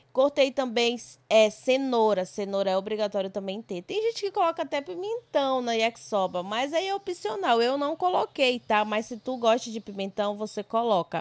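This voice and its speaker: A woman's fairly high voice with very wide pitch swings, at a moderate pace, in a dry, close sound with no echo. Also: hardly any pauses. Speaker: cooking vlogger. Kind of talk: cooking tutorial vlog narration. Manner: casual, chatty.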